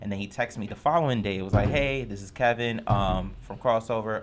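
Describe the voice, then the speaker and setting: A man with a New York accent, very fast, with fairly even intonation. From New York, Lower East Side. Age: 20s. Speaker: community TV host. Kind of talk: casual chat.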